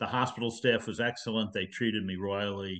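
Fairly low in pitch, a man with an unremarkable speaking voice keeps his intonation fairly even. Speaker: retired physician. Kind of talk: interview.

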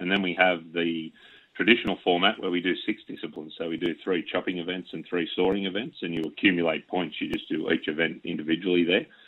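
Speaking very fast in an Australian accent, a man with a very deep, low pitch keeps a monotone, flat intonation. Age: 40s. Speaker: wood chopping champion. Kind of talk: radio interview.

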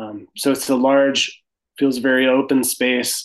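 The speaker is a man with an American accent. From US Midwest, Sioux Falls, South Dakota. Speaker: carpenter and retreat owner. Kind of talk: interview.

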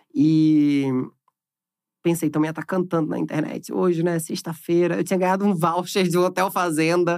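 A man with a high-pitched voice talks at a moderate pace with fairly even intonation. The recording is very clean, with a silent background. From Brazil, Recife (Pernambuco). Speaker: entertainment journalist. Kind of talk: casual chat. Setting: studio.

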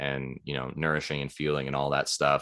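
Against a quiet background, a man with a Western US accent speaks in a bright, sharp tone. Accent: American (Western US). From Idaho, US. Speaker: nutrition consultant and endurance sports coach. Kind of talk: casual interview chat.

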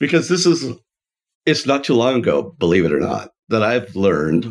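A man's voice shows vocal fry and very wide pitch swings. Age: 60s. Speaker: franchise founder and podcast co-host. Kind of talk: casual chat. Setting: office.

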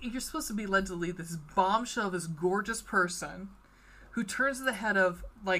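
What we hear is an unforced reading voice.

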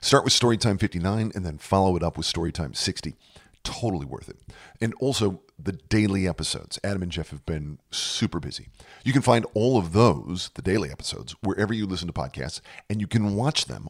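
On a very clean recording with a silent background, a man talks at a fairly quick pace with lively intonation and vocal fry. The sound is dry and close, with no echo. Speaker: podcast announcer. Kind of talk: sponsor read.

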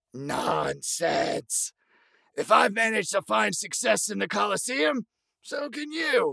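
A man's put-on character voice, pitched high and delivered at a fairly slow pace. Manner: folksy, encouraging, wry.

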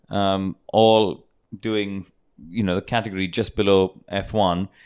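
On a very clean recording with a silent background, a man with an unremarkable speaking voice talks in a fairly low pitch with fairly even intonation. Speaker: TV motorsport presenter and racing driver. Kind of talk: casual panel discussion. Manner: jokey, good-natured banter.

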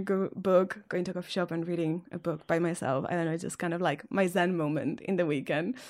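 Someone with a Catalan accent speaks at a fairly quick pace on a very clean recording with a silent background. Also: woman. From Catalonia, Spain. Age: 20s. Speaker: single dating podcast guest. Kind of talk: casual interview.

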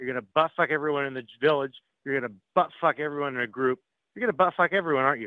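Very fast and angry in tone, a man speaks at a fairly high pitch. His pitch variation is ordinary. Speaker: prank call target. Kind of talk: heated phone argument. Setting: phone call. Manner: angry, loud.

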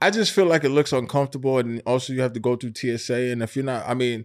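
At a fairly quick pace, a man speaks in a normal speaking voice, medium in pitch with ordinary pitch variation, on a very clean recording with a silent background.

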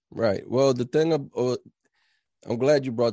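Dark, mellow tone from a male speaker, pitch varying in an ordinary way. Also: quiet background. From New Jersey, New Brunswick. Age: 30s. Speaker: film director and actor. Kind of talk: casual interview. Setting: podcast recording.

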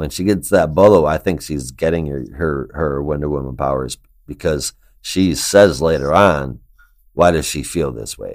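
A man speaks at a moderate pace with a very deep, low pitch and vocal fry. The recording is very clean, with a silent background. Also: ordinary pitch variation. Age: 40s. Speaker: comic book podcast host. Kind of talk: casual chat. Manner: animated.

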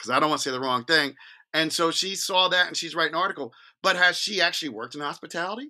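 Bright and sharp in tone, a man speaks with a New Jersey accent. His pitch varies in an ordinary way. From New Jersey, Jersey Shore (Long Branch). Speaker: wine podcaster and wine merchant. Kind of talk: casual chat.

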